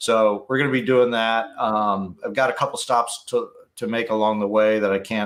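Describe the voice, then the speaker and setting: Speaking at a fairly slow pace, a man with medium pitch and fairly even intonation has a plain, everyday voice. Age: 50s. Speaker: motorcycle YouTuber. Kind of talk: casual chat.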